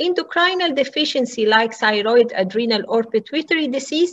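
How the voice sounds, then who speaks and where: A woman's high voice with very wide pitch swings. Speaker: medical lecturer. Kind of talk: lecture. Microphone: webcam.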